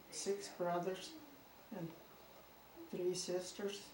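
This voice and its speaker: A woman of medium pitch speaks with an American accent. Noticeable background noise and audible room echo are present. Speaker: interviewee, great-grandmother. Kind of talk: family interview. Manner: halting.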